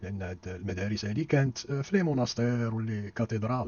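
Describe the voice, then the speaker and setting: A man with a Moroccan accent speaks fairly quickly in a fairly low pitch. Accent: Moroccan Darija. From Morocco. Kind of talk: history lecture narration.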